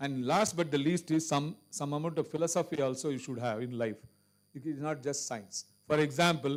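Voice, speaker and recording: This man talks at a moderate pace with fairly even intonation. His pitch sits fairly high. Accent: Indian. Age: 60s. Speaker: cancer surgeon and guest speaker. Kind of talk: Q&A answer at a medical seminar.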